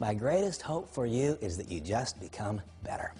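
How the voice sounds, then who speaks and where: Somewhat breathy and dark, mellow in tone, a man's medium-pitched voice swings very widely in pitch. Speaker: network marketing leader. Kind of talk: motivational talk. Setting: recorded video. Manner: fast; animated.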